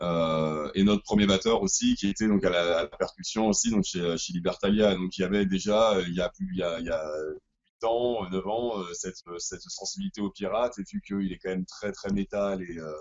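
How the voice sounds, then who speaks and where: Fairly even in intonation, a man talks at a moderate pace with a fairly low pitch. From southwest France. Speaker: rock band musician. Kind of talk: interview. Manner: hesitant, many fillers.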